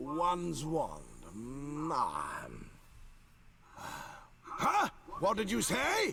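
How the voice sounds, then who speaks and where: A man puts on a character voice at a very slow pace. He pauses often and at length. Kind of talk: royal "one" speech. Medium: video game. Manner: pompous, imperious.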